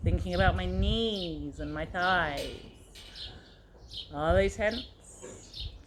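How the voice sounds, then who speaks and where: Music plays in the background as a woman speaks at a very slow pace. Audible room echo surrounds her voice. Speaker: circus fitness instructor. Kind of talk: casual chat; guided meditation. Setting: outdoors. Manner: soft-spoken.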